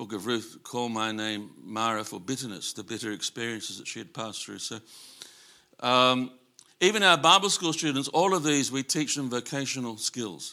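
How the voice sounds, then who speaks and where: A man's bright, sharp voice at medium pitch with an Australian accent, moderate pace and big swings in loudness. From Australia, Sydney. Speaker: missionary. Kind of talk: sermon. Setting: church. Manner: halting, many fillers.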